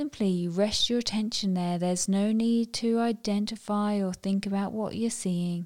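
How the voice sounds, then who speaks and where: An unremarkable speaking voice runs with hardly any pauses, fairly even intonation, and very even loudness. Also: woman, medium pitch for a woman. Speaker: meditation guide. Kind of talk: guided meditation. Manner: slow, calm, soothing; gentle, unhurried with long pauses.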